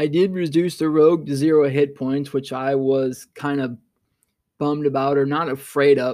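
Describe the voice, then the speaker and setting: A man's fairly high voice at a fairly quick pace. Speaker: podcast host. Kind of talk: solo podcast monologue, casual. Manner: fast talker; reflective, conversational.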